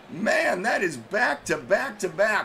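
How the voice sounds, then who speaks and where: A man's raised, projected, high-pitched voice at a fairly slow pace, amid noticeable background noise. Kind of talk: live sports commentary.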